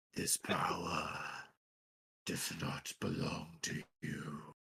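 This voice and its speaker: In a put-on character voice, a man growls and booms at a very deep, low pitch. He speaks very slowly. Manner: commanding.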